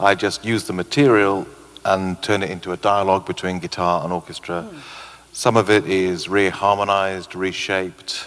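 Moving at a moderate pace, a man speaks in a fairly low pitch with fairly even intonation and big swings in loudness. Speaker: composer. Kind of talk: pre-concert interview. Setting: stage with audience. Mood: relaxed, enthusiastic. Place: hall. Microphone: handheld.

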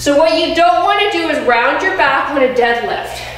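A woman speaks at a fairly slow pace in a room with strong echo and light background noise. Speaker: personal trainer. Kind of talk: fitness workout instruction. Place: gym.

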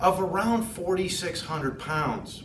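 A man's high-pitched voice, with audible room echo and light background noise. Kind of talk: tutorial. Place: shop. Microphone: lapel.

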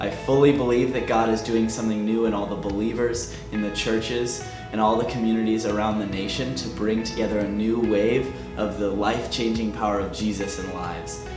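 A man at a fairly quick pace, fairly even intonation, clear music playing behind him. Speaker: student vlogger. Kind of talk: casual vlog update. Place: studio.

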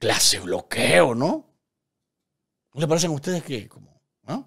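A man talks at a fairly slow pace with fairly high pitch, big pitch swings, a fairly bright tone, a slightly husky edge and vocal fry.

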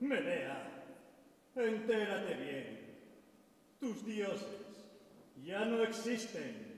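In a high-pitched, put-on character voice with big pitch swings, a man speaks at a very slow pace amid strong room echo.

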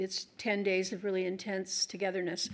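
Speaking at a moderate pace, a woman with an American accent keeps a medium pitch and a monotone, flat intonation. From Oregon, US. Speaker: author. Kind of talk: author talk and Q&A. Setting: stage with audience. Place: hall. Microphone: podium.

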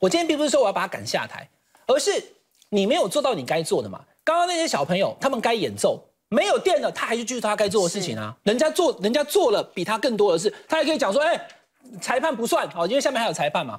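A man at an extremely high pitch, very fast, with very wide pitch swings and a quiet background. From Taiwan. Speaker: political commentator. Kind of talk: TV panel debate. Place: studio. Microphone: lapel.

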